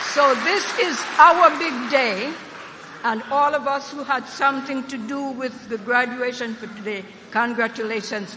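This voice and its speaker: Noticeable background noise fills the clip as the words come at a fairly slow pace. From Jamaica. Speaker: university trustee and former city council member. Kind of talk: commencement speech. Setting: stage with audience at graduation ceremony. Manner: animated.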